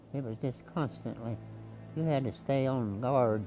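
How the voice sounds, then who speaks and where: A man with an American accent, medium pitch and ordinary pitch variation, speaking at a fairly slow pace with music in the background. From Missouri, USA. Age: 80s+. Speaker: war veteran. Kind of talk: interview answer.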